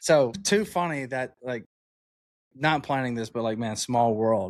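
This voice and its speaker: A man with an American accent and a medium-pitched voice speaks at a fairly slow pace with lively intonation. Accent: Southern accent, toned down. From Alabama, US South. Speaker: podcast host. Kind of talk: casual interview chat. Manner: casual.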